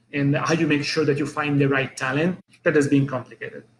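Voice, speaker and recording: A fairly high-pitched man with an Italian accent, fairly quick in pace and fairly even in intonation. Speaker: business owner. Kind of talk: interview. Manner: halting.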